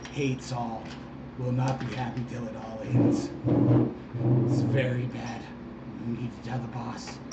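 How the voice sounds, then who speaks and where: A man puts on a character voice at a medium pitch and a moderate pace, with long, frequent pauses. Loud background noise and a slight echo fill the recording. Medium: actual play. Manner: repetitive, skittish.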